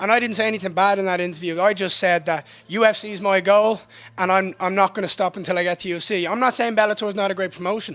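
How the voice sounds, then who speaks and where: In an Irish accent, a man talks at a very fast pace. His voice is high-pitched, with a bright, sharp tone. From Ireland. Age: 20s. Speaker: MMA fighter. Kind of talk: post-fight interview. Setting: backstage medical room. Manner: animated.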